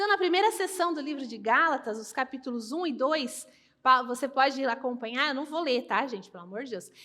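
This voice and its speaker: A woman speaks at a fairly quick pace in a high, raised and projected voice, her bright, sharp tone carrying lively intonation and big swings in loudness. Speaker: pastor. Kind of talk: sermon.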